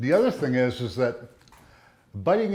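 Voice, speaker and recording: A man speaks with very wide swings in pitch. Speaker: denture patient giving testimonial. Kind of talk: testimonial interview. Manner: hesitant, many fillers.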